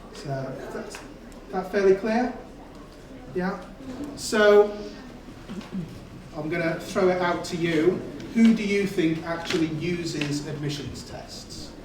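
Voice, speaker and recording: A man with a high pitch talks at a very slow pace with long, frequent pauses, ordinary pitch variation and big swings in loudness, amid noticeable background noise and audible room echo. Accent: North Wales. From North Wales. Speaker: admissions test specialist presenting a seminar. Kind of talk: seminar talk to students. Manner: hesitant with frequent fillers.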